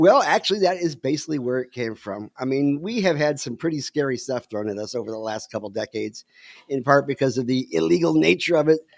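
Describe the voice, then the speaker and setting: In a very clean recording with a silent background and a dry, close, echo-free sound, a man speaks very fast at a medium pitch with very wide pitch swings. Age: 60s. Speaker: cannabis advocacy show co-host. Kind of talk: casual chat. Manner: halting.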